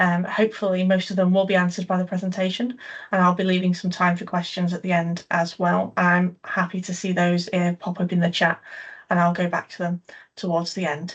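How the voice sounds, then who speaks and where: A woman speaks at a medium pitch and a fairly quick pace, somewhat breathy and monotone, with flat intonation. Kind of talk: online presentation. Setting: video call.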